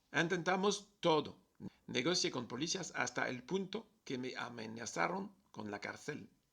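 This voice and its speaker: Using vocal fry and very wide pitch swings, a man with a French accent talks at a fairly slow pace and a fairly high pitch. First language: French (speaking Spanish). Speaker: travel vlogger. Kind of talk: personal video message.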